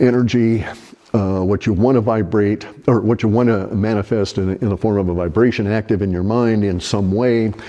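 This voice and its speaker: A man talks at a moderate pace in a fairly low pitch. Background noise is noticeable throughout. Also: fairly even intonation. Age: 70s. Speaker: online commentator. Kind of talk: casual monologue. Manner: halting.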